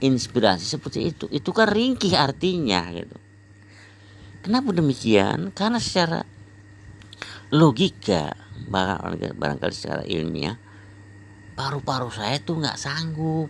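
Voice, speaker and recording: Vocal fry runs through this man's voice. He speaks at a fairly slow pace, his pitch swinging very widely. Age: 60s. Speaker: health exercise practitioner vlogger. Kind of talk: personal testimony monologue. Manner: rambling, repetitive.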